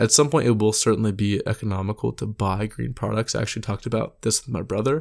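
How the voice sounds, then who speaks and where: A man with an American accent and vocal fry talks at a very fast pace with hardly any pauses, fairly low pitch, and fairly even intonation, on a very clean recording with a silent background. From Texas. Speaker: student podcast host on energy markets. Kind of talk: solo commentary podcast. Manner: casual, many filler words.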